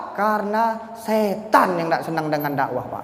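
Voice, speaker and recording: Over noticeable background noise and audible room echo, a man speaks at a moderate pace with a Bangka accent. His voice sits high and makes very wide pitch swings. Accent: Bangka accent, described as coarse. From Bangka Belitung, Indonesia. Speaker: Islamic preacher. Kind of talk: sermon. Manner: animated.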